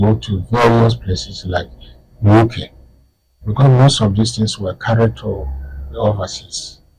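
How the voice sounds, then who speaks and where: Music plays behind a man with a fairly low pitch. He speaks fairly slowly with ordinary pitch variation. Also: long, frequent pauses. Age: 80s+. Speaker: historian and author. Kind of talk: interview. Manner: halting.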